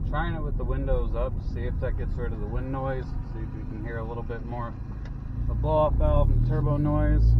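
Fairly quick speech in a dry sound with no echo, over loud background noise. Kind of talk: casual vlog chat. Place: car. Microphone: camera far.

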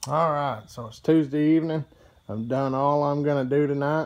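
Speaking at a moderate pace, a man uses a fairly high pitch and a slightly mellow tone with fairly even intonation.

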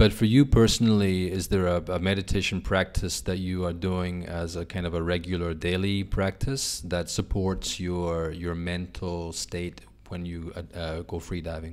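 A man's very deep, low voice at a moderate pace, with fairly even intonation. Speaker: podcast host. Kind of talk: interview. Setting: in person. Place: cafe. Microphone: studio mic.

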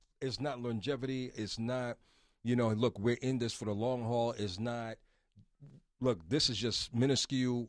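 The speech moves at a moderate pace with fairly even intonation. The background is quiet and the sound is dry, with no echo. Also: man. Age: 30s. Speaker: radio host. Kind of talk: casual chat. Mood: warm, earnest. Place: studio. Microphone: studio mic.

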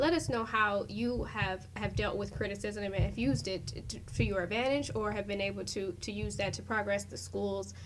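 A woman talks with hardly any pauses. Noticeable background noise sits behind her. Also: moderate pace. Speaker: TV interview host. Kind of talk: interview. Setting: studio. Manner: formal.

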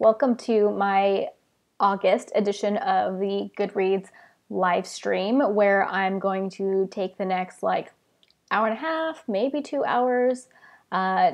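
A woman at a very slow pace against a quiet background. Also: ordinary pitch variation. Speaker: book vlogger. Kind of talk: casual live stream chat. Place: home room. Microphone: earbuds.

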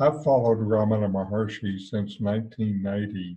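A man's somewhat breathy, fairly low voice at a fairly slow pace. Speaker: satsang host. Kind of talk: spiritual talk introduction. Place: home room. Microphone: headset.

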